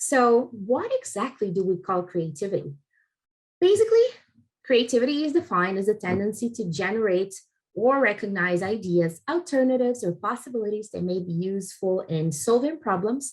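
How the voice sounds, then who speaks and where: A somewhat breathy woman's voice at a medium pitch, with a Portuguese accent, lively intonation and a moderate pace. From Brazil. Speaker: head of customer experience. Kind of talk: recorded conference talk. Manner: halting, many fillers.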